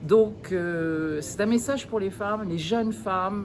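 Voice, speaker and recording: Audible room echo around a woman's voice with ordinary pitch variation. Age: 60s. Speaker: network marketing distributor. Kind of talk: testimony. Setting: event. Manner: animated; halting.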